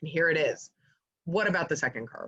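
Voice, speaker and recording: A woman with an animated tone. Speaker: fundraising consultant. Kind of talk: webinar presentation. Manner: fast.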